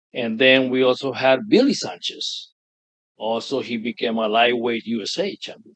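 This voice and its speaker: In an American accent, a man speaks at a moderate pace with ordinary pitch variation, in an ordinary speaking voice. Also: medium pitch for a man. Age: 60s. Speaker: veteran bodybuilder. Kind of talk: interview.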